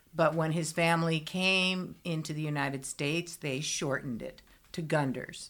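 With fairly even intonation, a woman talks in a very deep, low pitch. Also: moderate pace. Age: 50s. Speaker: musician's sister. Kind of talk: casual chat.

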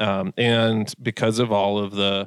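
In an American accent, a man with a normal speaking voice talks at a fairly low pitch with fairly even intonation. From Massachusetts, US. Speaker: online gear retailer owner and bird hunter. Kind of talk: casual interview.

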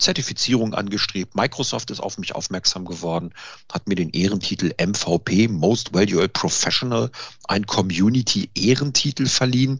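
Speaking at a moderate pace in a plain, everyday voice, a man keeps a fairly low pitch with ordinary pitch variation. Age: 50s. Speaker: IT consultant and home cook. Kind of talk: casual interview.

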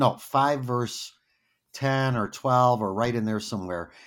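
A man has an unremarkable speaking voice at a medium pitch and a moderate pace. The recording is very clean, with a silent background. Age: 60s. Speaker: Lutheran pastor. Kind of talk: casual interview.

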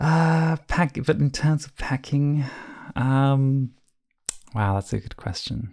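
This man has an Australian accent and a fairly high voice with ordinary pitch variation. He talks at a very slow pace, with long, frequent pauses and big swings in loudness. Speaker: travel and packing content creator. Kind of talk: casual interview. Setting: video call.

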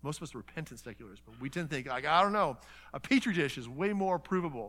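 A man's fairly high, bright and sharp voice with vocal fry and very wide pitch swings, on a very clean recording with a silent background. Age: 50s. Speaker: pastor. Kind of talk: sermon. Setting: church conference seminar with audience. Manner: fast talker.

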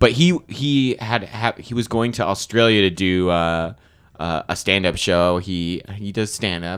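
A man with an American accent and an unremarkable speaking voice talks at a fairly low pitch and fairly slow pace, with ordinary pitch variation, on a very clean recording with a silent background. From Arizona. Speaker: writer and actor. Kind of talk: casual chat.

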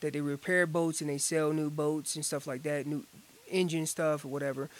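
A man in an American accent with monotone, flat intonation. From North Carolina, Orange County. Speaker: world champion elk caller and hunter. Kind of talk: casual interview chat. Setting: outdoor gazebo.

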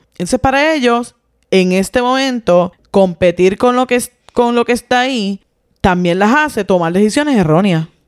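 In an ordinary speaking voice, a woman talks at a fairly high pitch and moderate pace, with lively intonation, very even loudness, and a dry, close sound with no echo. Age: 40s. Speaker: podcast co-host. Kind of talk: casual chat.

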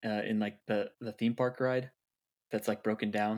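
In a very clean recording with a silent background, a man at medium pitch talks at a moderate pace in an unremarkable speaking voice. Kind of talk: casual chat. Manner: playful, joking.

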